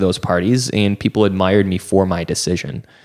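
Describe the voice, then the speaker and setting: A man's ordinary speaking voice, fairly low in pitch, at a fairly quick pace. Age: 30s. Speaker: nonprofit founder. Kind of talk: casual interview.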